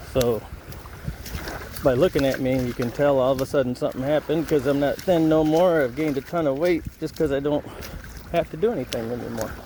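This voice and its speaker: A man with an American accent speaks in a relaxed tone at a fairly quick pace, with a fairly high pitch, ordinary pitch variation, long and frequent pauses, and noticeable background noise. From United States. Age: 60s. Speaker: expat vlogger. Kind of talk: walk and talk vlog. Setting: outdoors on a beach. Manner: casual, relaxed.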